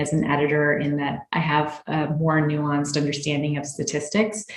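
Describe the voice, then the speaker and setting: A woman's very deep, low-pitched voice, with audible room echo and noticeable background noise. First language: Spanish. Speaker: physician and clinical researcher. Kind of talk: interview.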